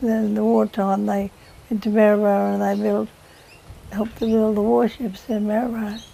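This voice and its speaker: A woman in an Australian accent speaks fairly quickly. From Queensland, Australia. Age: 80s+. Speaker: oral history interviewee. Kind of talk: reminiscence. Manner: halting.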